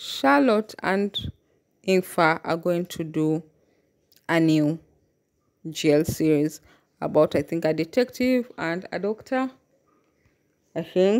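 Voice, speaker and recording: On a very clean recording with a silent background, a woman speaks at a very slow pace in a fairly low pitch, with lively intonation and long, frequent pauses. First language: not English (English is third language). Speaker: YouTuber commenting on BL and GL series. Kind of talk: casual vlog commentary.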